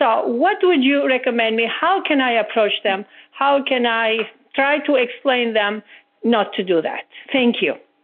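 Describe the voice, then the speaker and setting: In an Italian accent, a high-pitched woman speaks at a fairly slow pace, her intonation lively and her loudness very even. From Italy. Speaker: health coach trainee. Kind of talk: call-in question. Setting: phone call.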